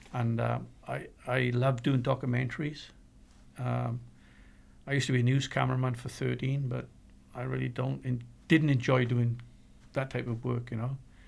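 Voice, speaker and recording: A man speaks in a Welsh accent. He leaves long, frequent pauses. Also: moderate pace. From Wales. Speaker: paranormal investigator. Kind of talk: casual chat.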